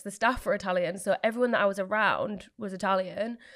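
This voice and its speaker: A woman with a Yorkshire accent. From Leeds area, England. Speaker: small business owner, baker. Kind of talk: casual interview chat. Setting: studio.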